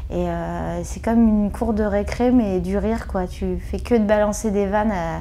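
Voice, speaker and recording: The speech moves at a fairly slow pace. Audible room echo surrounds it. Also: woman. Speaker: comedian and web video actress. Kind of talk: interview. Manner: hesitant, many fillers.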